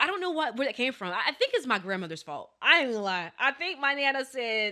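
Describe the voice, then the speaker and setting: In an American accent, a raised, projected voice with a bright, sharp tone makes very wide pitch swings on a very clean recording with a silent background. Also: woman, high pitch for a woman. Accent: lacks southern drawl. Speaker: podcast co-host. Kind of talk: casual chat. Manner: fast.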